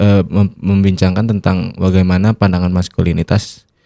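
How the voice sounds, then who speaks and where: A man's very deep, low voice at a moderate pace, dry and close with no echo, in a very clean recording with a silent background. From West Java (Sundanese). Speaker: podcast guest speaker. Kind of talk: casual discussion. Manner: halting, many fillers.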